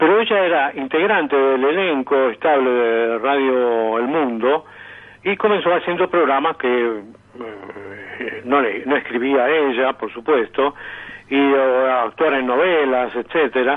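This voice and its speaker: Speaking at a very slow pace, a man keeps ordinary pitch variation. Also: medium pitch for a man. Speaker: radio announcer and sound archive collector. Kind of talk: radio interview answer.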